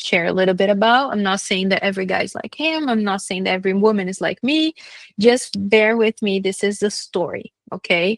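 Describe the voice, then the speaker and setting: A woman with a Brazilian accent talks at a fairly quick pace in a medium pitch with ordinary pitch variation. The sound is dry and close, with no echo. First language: Brazilian Portuguese. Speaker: vlogger telling personal story. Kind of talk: personal testimony monologue. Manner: halting, many fillers.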